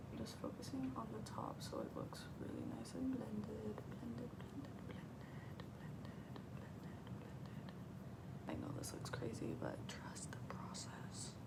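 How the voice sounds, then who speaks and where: Noticeable background noise surrounds a woman speaking in a whisper. Her pace is fairly slow. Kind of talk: ASMR soft-spoken makeup tutorial. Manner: soft-spoken.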